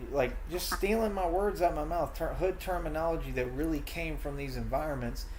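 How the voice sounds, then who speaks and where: A man talks at a fairly quick pace with hardly any pauses. Room echo is audible. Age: 30s. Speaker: streamer ranting about online critics. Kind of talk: heated rant in live stream chat. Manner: animated.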